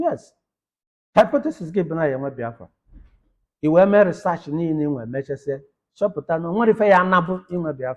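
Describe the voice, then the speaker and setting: Speaking with a Nigerian accent, a man uses a high pitch and lively intonation. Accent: Nigerian Igbo English. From Nigeria, Nteje-Abogu, Anambra State. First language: Igbo. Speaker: academic lecturer. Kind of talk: lecture.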